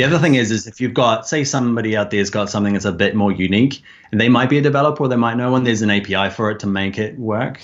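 Very fast and with hardly any pauses, a man at medium pitch talks with a New Zealand accent. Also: ordinary pitch variation. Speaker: online course creator and design instructor. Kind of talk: interview. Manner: halting.

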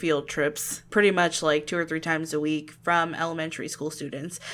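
A woman with an American accent, fairly low in pitch, her tone bright and sharp. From Ocala, Florida. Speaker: podcast co-host. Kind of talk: casual chat. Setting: video call.

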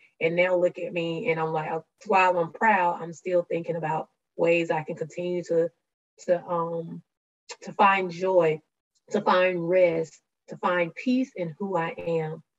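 A woman with a Southern US accent speaks at a fairly slow pace, her pitch fairly low and her intonation fairly even. The sound is dry and close, with no echo. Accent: Southern US (Georgia). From rural Georgia, US South. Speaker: diversity and inclusion professional. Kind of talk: interview conversation.

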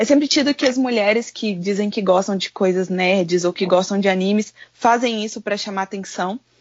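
A woman with a normal speaking voice talks at a moderate pace with ordinary pitch variation and hardly any pauses. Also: medium pitch for a woman. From Goiânia, Brazil. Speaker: content creator. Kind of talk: casual chat.

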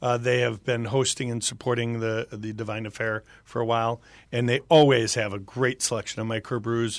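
A man speaks at a medium pitch and moderate pace in a monotone, flat intonation. The recording is very clean, with a silent background. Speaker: wine distributor. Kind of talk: radio interview. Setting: studio. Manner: halting.

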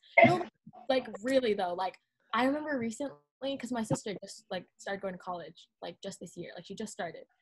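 A woman speaks in an American accent at a fairly quick pace, her voice somewhat breathy. Her intonation is lively, and her loudness swings widely. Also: fairly high pitch for a woman. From Southern California. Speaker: college student. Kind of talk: casual chat.

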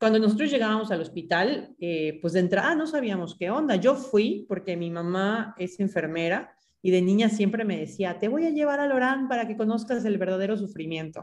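At a moderate pace and with hardly any pauses, this is a normal speaking voice. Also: woman, medium pitch for a woman, lively intonation. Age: 30s. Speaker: graphic designer and social project co-founder. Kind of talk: interview conversation.

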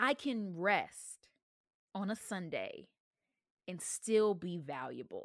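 With an American accent, a woman talks at a very slow pace using lively intonation. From US South. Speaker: podcast host and college student. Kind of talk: reading a speech aloud; casual monologue.

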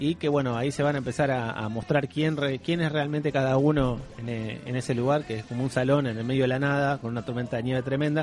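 A medium-pitched man in a Rioplatense accent, very fast with hardly any pauses and fairly even intonation. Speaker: podcast host. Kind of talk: casual chat.

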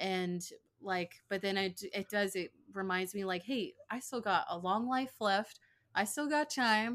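A woman's ordinary speaking voice at medium pitch and a fairly slow pace. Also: ordinary pitch variation, very clean recording, silent background. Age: 20s. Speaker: podcast co-host, stay-at-home mom. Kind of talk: casual chat. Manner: many filler words (um, like).

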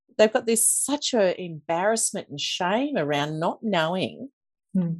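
With an Australian accent, a woman talks in a medium pitch with lively intonation against a quiet background. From Queensland, Australia (Toowoomba). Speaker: financial coach. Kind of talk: interview.

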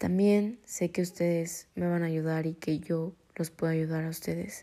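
Fairly slow and monotone, a woman speaks in a fairly low pitch with a dark, mellow tone. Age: 20s. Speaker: podcast host. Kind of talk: personal monologue.

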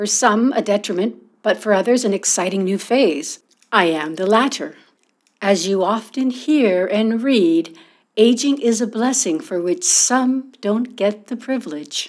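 A woman speaks at a fairly slow pace with a fairly high pitch. Her intonation is lively. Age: 50s. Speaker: podcast host. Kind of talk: solo podcast monologue. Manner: animated.

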